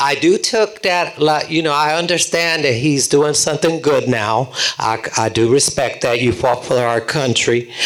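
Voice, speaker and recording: A man with a fairly high pitch speaks at a moderate pace with hardly any pauses and very even loudness. His pitch varies in an ordinary way, with noticeable background noise behind him. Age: 80s+. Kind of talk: audience question at panel. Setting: public panel event with audience. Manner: animated.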